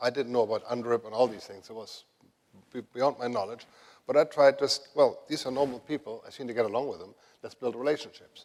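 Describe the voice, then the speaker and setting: Fairly quick in pace, a man speaks with a German accent. His intonation stays fairly even. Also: medium pitch for a man, big swings in loudness. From Germany. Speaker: renewable energy executive. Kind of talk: conference panel talk.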